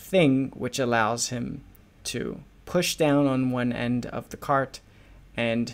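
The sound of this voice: With fairly even intonation, this is an unforced reading voice.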